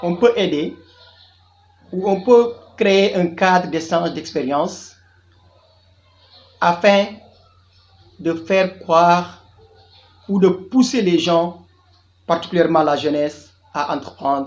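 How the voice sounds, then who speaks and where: A man's high-pitched voice at a very slow pace, with long, frequent pauses and ordinary pitch variation. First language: Diola (Jola) (speaking French). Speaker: tour guide and youth business coach. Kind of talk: channel introduction monologue.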